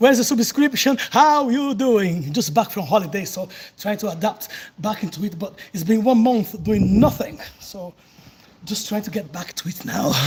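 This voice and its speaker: At a moderate pace, a man speaks in a high pitch with lively intonation and big swings in loudness. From southern Brazil, countryside of Paraná. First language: Portuguese. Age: 40s. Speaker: capoeira teacher, livestreamer. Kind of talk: casual live chat during workout. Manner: breathless, effortful.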